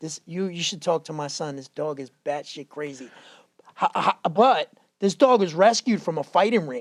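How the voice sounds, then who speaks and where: In a dry, close sound with no echo, the speaker keeps a moderate pace with an animated tone, lively intonation and big swings in loudness. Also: man, fairly high pitch for a man. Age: 40s. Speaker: fitness trainer. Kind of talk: casual chat.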